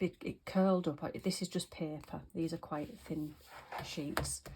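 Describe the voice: A woman at a fairly slow pace, her tone slightly mellow with a slightly husky edge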